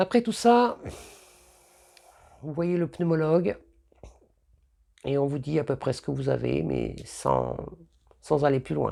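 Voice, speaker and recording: A very slow pace with long, frequent pauses. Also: woman. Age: 50s. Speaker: cancer patient. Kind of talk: testimony. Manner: halting.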